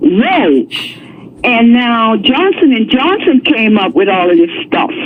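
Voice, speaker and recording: Over noticeable background noise, a woman talks very slowly in a fairly high pitch, her voice making very wide pitch swings. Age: 70s. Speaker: caller, pastor. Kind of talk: call-in comment. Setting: phone call.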